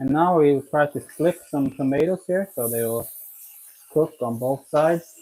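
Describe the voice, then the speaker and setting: Someone talks at a very slow pace with a Swedish accent. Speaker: home cooking video maker. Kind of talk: live cooking stream. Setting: kitchen, live stream. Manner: casual, conversational.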